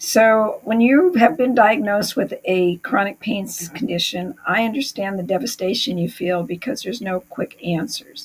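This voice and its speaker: A somewhat breathy woman at a moderate pace, with lively intonation and hardly any pauses. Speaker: chronic pain recovery coach. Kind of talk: talking-head explainer. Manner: hesitant with fillers.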